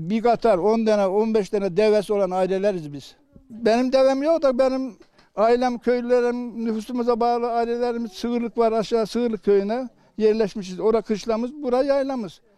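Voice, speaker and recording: An extremely high-pitched man's voice, dark and mellow in tone, at a moderate pace with ordinary pitch variation. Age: 80s+. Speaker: elderly villager, livestock farmer. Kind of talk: casual interview.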